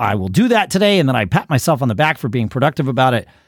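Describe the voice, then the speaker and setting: With an American accent, a man swings his pitch very widely, with vocal fry in his voice. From US Northeast. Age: 50s. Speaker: podcast host. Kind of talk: casual chat.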